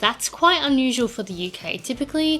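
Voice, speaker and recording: A woman talks at a moderate pace with an Australian accent, with noticeable background noise behind her. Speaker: vlogger. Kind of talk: casual vlog talk.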